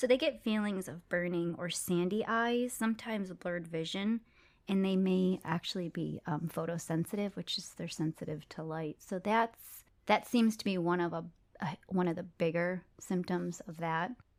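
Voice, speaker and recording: A woman uses a plain, everyday voice with an American accent, at medium pitch and a moderate pace. Her pitch variation is ordinary, and the recording is very clean with a silent background. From United States. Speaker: dental hygienist podcast host. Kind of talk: educational podcast chat.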